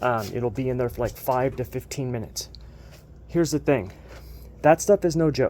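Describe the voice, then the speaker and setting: A man with a dark, mellow tone speaks with long, frequent pauses. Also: medium pitch for a man, ordinary pitch variation, moderate pace. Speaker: DIY tutorial maker. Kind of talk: tutorial. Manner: casual, with fillers.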